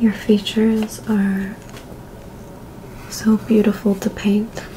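The speaker is soft-spoken, with monotone, flat intonation at a very slow pace. Light background noise is present. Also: woman, fairly high pitch for a woman. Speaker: ASMR creator. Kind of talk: ASMR role-play. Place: home room.

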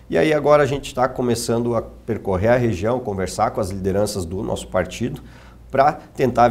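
With lively intonation and vocal fry, a man speaks at a fairly quick pace in a fairly low pitch. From Erechim, Rio Grande do Sul, Brazil; Rio Grande do Sul, Brazil. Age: 30s. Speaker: city councillor and politician; city councillor, politician. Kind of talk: TV interview. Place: studio. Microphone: lapel.

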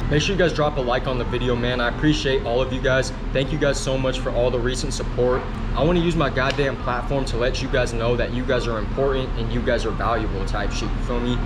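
Noticeable background noise sits under a man's speech. He talks very fast with hardly any pauses. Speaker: vlogger. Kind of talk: casual vlog chat. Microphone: phone near.

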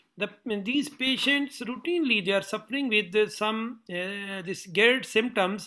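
A man speaks at a moderate pace with a high pitch and lively intonation. The background is quiet. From Pakistan. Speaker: surgeon and interviewer; interviewer. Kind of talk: interview. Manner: halting. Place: office. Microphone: webcam.

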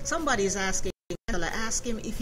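A woman's moderate-paced speech runs over clearly audible background music. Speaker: radio host. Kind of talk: radio interview. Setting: studio. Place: studio.

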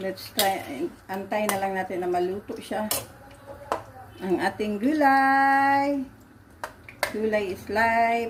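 Very slow speech from a woman, fairly high in pitch and with ordinary pitch variation. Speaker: vlogger and caregiver. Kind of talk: cooking vlog tutorial.

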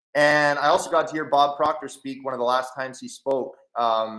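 Over a quiet background with audible room echo, a man talks at a moderate pace in a fairly high, bright, sharp voice with fairly even intonation. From Canada. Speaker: online trading educator and entrepreneur; online trading educator. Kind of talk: live webinar presentation. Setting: video call. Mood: reflective, earnest. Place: home room. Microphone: headset.

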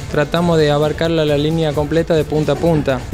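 A man speaks with music clearly audible in the background. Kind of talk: interview answer. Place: shop. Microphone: handheld.

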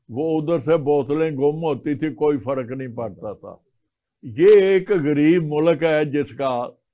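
A man's fairly high, dark, mellow voice with ordinary pitch variation, big swings in loudness, a very slow pace and a quiet background. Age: 80s+. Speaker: retired army colonel; guest. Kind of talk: oral history interview. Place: studio.

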